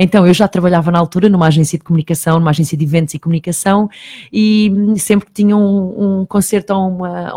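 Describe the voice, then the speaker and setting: A somewhat breathy woman talks at a very fast pace with ordinary pitch variation. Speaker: TV presenter and online magazine journalist. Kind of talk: radio interview. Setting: radio studio. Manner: talkative, fast.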